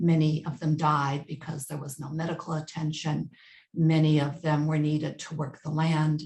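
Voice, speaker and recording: A woman with an American accent speaks in a very deep, low pitch at a moderate pace. Her voice is somewhat breathy, with monotone, flat intonation. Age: 70s. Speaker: family history interviewee. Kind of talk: oral history interview.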